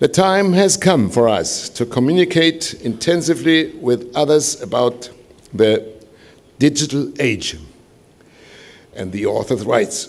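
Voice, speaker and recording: With a German accent, a man speaks at a fairly high pitch, using lively intonation, vocal fry and long, frequent pauses. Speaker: composer and organization president. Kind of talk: welcome speech. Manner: halting.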